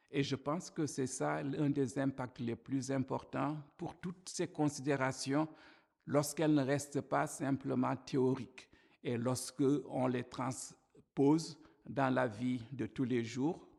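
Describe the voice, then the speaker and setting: Against a quiet background, a man speaks at a very slow pace and medium pitch, with vocal fry and fairly even intonation. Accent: African. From Africa. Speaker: church minister. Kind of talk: testimony talk to camera.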